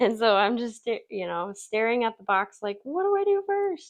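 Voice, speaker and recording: A woman speaks at a moderate pace with a high pitch. Her pitch swings very widely. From US Midwest, Wisconsin (city). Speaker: crafting YouTuber. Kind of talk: tutorial. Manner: casual, chatty.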